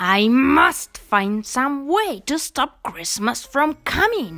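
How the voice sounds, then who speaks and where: With faint music in the background, a man does a put-on character voice at a very slow pace. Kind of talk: bedtime story. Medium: read story. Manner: sneering, scheming; growling.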